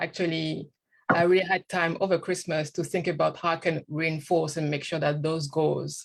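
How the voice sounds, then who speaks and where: A woman's very deep, low voice with vocal fry and monotone, flat intonation, on a very clean recording with a silent background. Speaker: guest speaker. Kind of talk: interview. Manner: hesitant, many fillers.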